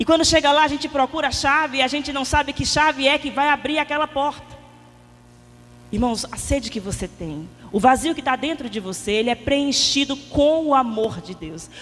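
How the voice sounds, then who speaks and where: A woman talks at a moderate pace, her high-pitched voice shrill with ordinary pitch variation. Noticeable background noise sits behind her. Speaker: lay preacher at a prayer group. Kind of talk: sermon. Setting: prayer meeting with audience, microphone. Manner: soft-spoken.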